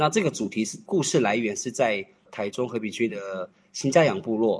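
Here a man uses a normal speaking voice at medium pitch, with ordinary pitch variation and a moderate pace. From Taiwan, Miaoli Tai'an, Atayal. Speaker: dance troupe leader. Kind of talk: interview.

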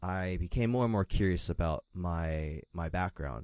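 A man speaks with an American accent in a very deep, low voice. The sound is dry and close, with no echo. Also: quiet background. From US, Philadelphia, Pennsylvania. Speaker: tech industry employee. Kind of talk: interview. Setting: studio. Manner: hesitant, with filler words and repetitions.

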